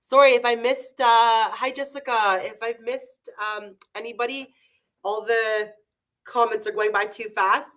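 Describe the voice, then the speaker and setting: A loud woman's voice, fairly high in pitch, at a fairly slow pace. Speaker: beauty product educator. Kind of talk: live webinar. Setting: online webinar. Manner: halting, many fillers.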